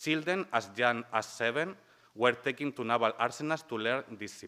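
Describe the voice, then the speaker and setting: A man with a strong Spanish accent, a bright, sharp tone, medium pitch, ordinary pitch variation and a moderate pace. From Spain. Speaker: human rights lawyer and researcher. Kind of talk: conference talk. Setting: conference panel with audience.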